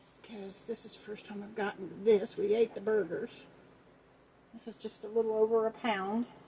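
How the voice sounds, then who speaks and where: Mumbling at a moderate pace, a woman with a fairly high voice keeps a monotone, flat intonation while her loudness swings widely. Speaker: cooking vlogger. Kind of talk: casual chat.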